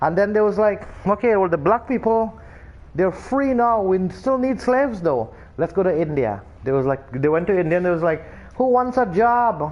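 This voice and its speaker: Using a Trinidadian accent, a man with a high pitch talks at a moderate pace with lively intonation and very even loudness. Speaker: video game streamer. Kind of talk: casual chat.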